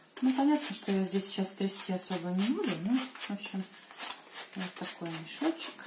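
Amid noticeable background noise, a woman with a medium pitch speaks at a moderate pace using lively intonation and long, frequent pauses. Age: old. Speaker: retired grandmother blogger. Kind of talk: casual product review to camera. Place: home room. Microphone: phone near.

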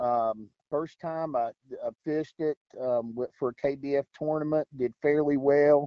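Fairly high in pitch, a man speaks at a fairly slow pace with fairly even intonation. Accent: Appalachian. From West Virginia. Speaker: kayak fishing tournament angler. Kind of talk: interview.

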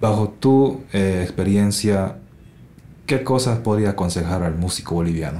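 A dark, mellow tone with ordinary pitch variation, a fairly slow pace and audible room echo. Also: man, fairly low pitch for a man. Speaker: podcast host, musician and mastering engineer. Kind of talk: casual interview.

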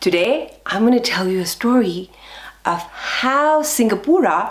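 At a fairly slow pace, a woman of medium pitch lets her voice swing very widely up and down. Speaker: professional storyteller and speech and drama educator. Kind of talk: children's storytelling. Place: home room.

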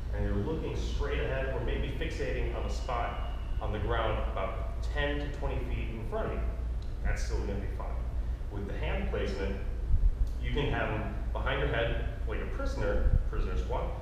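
A man's voice in strong room echo, with noticeable background noise. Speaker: fitness instructor. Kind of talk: tutorial. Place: gym. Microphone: camera far.

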